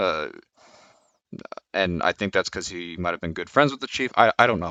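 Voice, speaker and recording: This male speaker's voice sits very deep and low. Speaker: police officer. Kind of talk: casual talk to camera. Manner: stuttering, hesitant.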